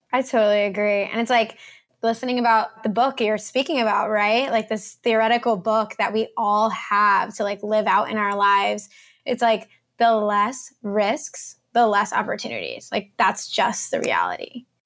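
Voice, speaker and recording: A woman talks at a moderate speed, captured in a very clean recording where the background is silent. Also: fairly high pitch for a woman. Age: 20s. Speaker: nurse and fitness coach. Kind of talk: casual chat. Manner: energetic.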